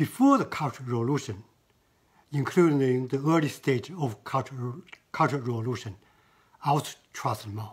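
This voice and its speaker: A man speaks at a moderate pace in a medium pitch, somewhat breathy, with ordinary pitch variation. He leaves long, frequent pauses. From China. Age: 70s. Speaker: artist. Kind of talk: interview. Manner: halting.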